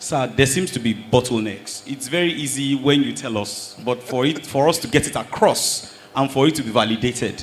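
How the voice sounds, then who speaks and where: Noticeable background noise sits behind a man who talks. His pace is moderate and his pitch variation ordinary. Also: medium pitch for a man, hardly any pauses. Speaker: audience member. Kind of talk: audience question at a panel.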